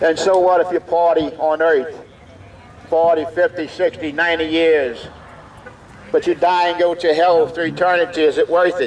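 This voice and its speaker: A man speaks loudly in a high pitch. His pace is moderate and his intonation monotone and flat. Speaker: evangelist, street preacher. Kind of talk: fire-and-brimstone street sermon. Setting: outdoors, at a biker bar. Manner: loud, fervent, emphatic. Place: street. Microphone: headset.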